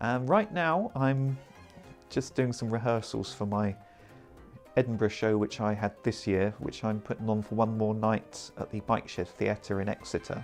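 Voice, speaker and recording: Over music in the background, a man with an English accent talks at a fairly low pitch with ordinary pitch variation. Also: moderate pace. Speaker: comedy performance poet. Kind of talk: interview answer.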